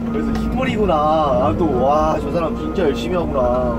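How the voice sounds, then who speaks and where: A man is speaking. Music plays in the background. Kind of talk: casual vlog chat. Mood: grumbling, joking. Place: farm machine. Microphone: phone near.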